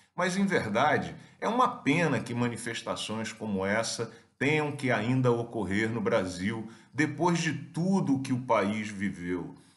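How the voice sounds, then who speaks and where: Lively intonation runs through fairly slow speech, with audible room echo around it. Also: man, medium pitch for a man. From Brazil. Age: 50s. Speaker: academic commentator. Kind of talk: video commentary.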